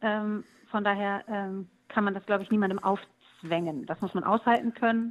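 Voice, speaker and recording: The speaker has a normal speaking voice, talking at a moderate pace with fairly even intonation over a quiet background. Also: woman. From East Frisia, northern Germany. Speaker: musician. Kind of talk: interview.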